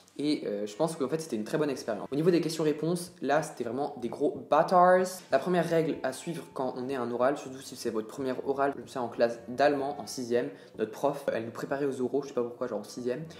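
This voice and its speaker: A man speaks very fast in a fairly high voice, with noticeable noise in the background. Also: ordinary pitch variation. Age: 20s. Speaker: medical student. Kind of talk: vlog advice talk. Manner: casual, slangy.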